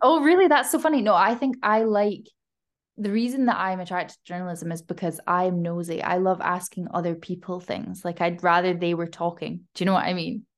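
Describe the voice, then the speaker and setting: A woman with a Glasgow accent, talking at a fairly quick pace. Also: medium pitch for a woman, ordinary pitch variation. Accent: mild Glasgow Scottish. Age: 20s. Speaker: freelance copywriter. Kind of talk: casual chat. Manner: clear, easy to understand.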